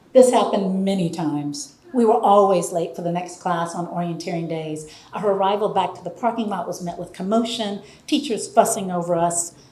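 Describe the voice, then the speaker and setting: A woman talks at a fairly quick pace with a medium pitch and ordinary pitch variation, her loudness swinging widely. Audible room echo and noticeable background noise surround her voice. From Appalachia, Tennessee. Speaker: storyteller. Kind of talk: storytelling performance.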